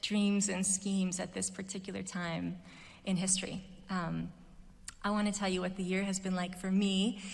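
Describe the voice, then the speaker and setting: In an American accent, a woman speaks at a fairly slow pace with medium pitch, amid audible room echo and noticeable background noise. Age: 40s. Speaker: commencement speaker, musician. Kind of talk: commencement speech. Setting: stage with audience. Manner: hesitant, many fillers.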